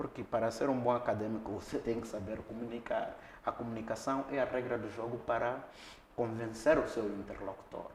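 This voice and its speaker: A man's medium-pitched voice stays monotone and flat, with noticeable background noise behind it. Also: moderate pace. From Mozambique, Niassa (Lichinga). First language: local Mozambican language (speaking Portuguese). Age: young. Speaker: academic, former radio broadcaster. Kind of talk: interview, life story.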